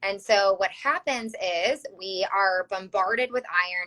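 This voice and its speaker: The woman has a medium pitch and speaks with a Chicago accent. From US Midwest, Chicago. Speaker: health practitioner. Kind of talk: interview. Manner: hesitant, many fillers.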